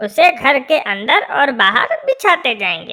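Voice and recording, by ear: This female-sounding cartoonish character voice leaps through very wide pitch swings.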